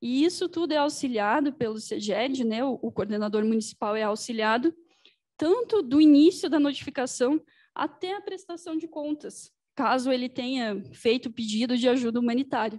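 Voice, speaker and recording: With lively intonation, a woman speaks at a moderate pace in a high pitch. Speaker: civil defense presenter. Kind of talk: lecture. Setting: event hall, hybrid with online audience.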